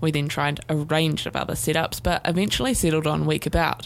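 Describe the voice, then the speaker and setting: A woman with a New Zealand accent speaks at a fairly quick pace. Her pitch is very deep and low. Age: 20s. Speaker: podcast host and student producer. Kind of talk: scripted narration.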